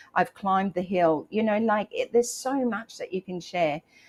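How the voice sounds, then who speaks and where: In a dry, close sound with no echo, a woman talks with an Australian accent. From Australia, rural Queensland. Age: 60s. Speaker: motivational live streamer and author. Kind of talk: motivational live stream talk. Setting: live stream. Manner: animated.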